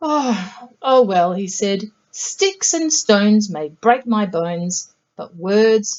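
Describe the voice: Plain reading aloud comes through against a quiet background.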